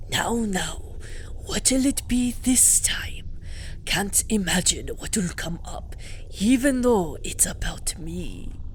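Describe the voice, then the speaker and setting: Whispering in a put-on character voice, a woman speaks at a very slow pace over clear background noise. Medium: game stream. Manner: polite, measured.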